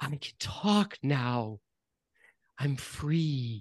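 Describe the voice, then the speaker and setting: A man puts on a nasal, shaky character voice at a medium pitch with lively intonation. The sound is dry and close, with no echo. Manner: quavering.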